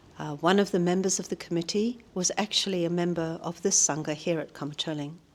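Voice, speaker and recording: A woman with a New Zealand accent speaks at a fairly low pitch. Her pace is very fast and her intonation fairly even. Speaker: Buddhist practitioner, long-time monastery volunteer. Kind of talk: interview. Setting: monastery. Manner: hesitant, with frequent fillers.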